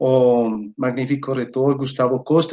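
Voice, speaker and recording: The speaker is a man with a medium-pitched voice. He talks in a monotone, with flat intonation. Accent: Spanish. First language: Spanish (speaking Portuguese). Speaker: academic researcher, invited speaker. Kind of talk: lecture. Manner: halting, many fillers.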